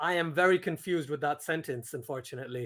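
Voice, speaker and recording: A man's animated, bright and sharp voice, with very wide pitch swings and a fairly quick pace, on a very clean recording with a silent background. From Pakistan. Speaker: cricket streamer. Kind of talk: live watchalong commentary and chat. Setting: live stream. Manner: casual, animated.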